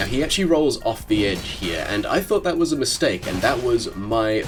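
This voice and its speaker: Music in the background and a moderate pace. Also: man. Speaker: gaming commentator. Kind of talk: gameplay commentary voice-over. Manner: casual.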